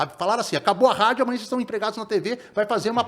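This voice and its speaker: This is a man's voice. His pitch is high. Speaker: sports reporter. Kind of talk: podcast interview. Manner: fast.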